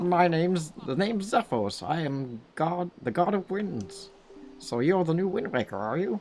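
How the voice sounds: A put-on character voice, croaky, at a moderate pace and middle pitch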